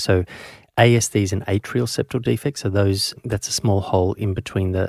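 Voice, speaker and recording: Recorded very cleanly against a silent background with a dry, close sound and no echo, a man with a fairly low pitch and a somewhat breathy voice talks at a fairly quick pace with fairly even intonation. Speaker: paediatrician and podcast host. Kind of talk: interview.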